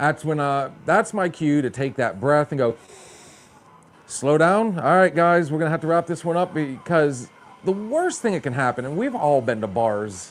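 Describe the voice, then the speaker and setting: A man's fairly high voice, lively in intonation, at a moderate pace. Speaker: podcast host. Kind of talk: casual chat. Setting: bar show. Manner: stumbling.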